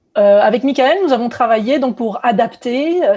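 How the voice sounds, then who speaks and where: A woman speaks with a somewhat breathy voice. Her tone is dark and mellow. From southern France (Aix-en-Provence, Marseille). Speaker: biotech company co-founder and CEO, scientist. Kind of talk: virtual conference talk. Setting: virtual conference. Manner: many hesitations (euh).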